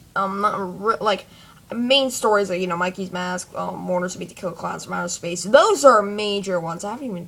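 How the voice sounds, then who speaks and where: Her loudness swings widely as a woman of medium pitch talks at a fairly quick pace with ordinary pitch variation. Noticeable background noise is present. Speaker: fan fiction vlogger. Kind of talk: casual monologue. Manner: halting, many fillers.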